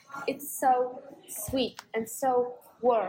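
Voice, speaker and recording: Over noticeable background noise, a woman speaks in a high pitch with fairly even intonation. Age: 20s. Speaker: podcast co-host. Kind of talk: casual chat. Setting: cafe.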